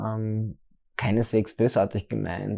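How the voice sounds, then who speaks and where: At a moderate pace and fairly low pitch, a man talks in a dark, mellow tone over a quiet background. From Austria, southern Styria. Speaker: drag queen and hairstylist. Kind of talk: interview. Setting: furniture store. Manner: hesitant, many fillers.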